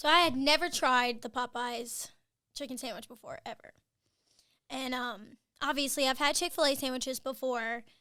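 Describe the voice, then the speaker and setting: A woman's high-pitched, raised and projected voice with an American accent, bright and sharp in tone, at a moderate pace with long, frequent pauses, big swings in loudness and fairly even intonation, on a very clean recording with a silent background. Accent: Southern US, comes out at times. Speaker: marketing video host. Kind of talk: casual chat. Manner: hesitant, many fillers.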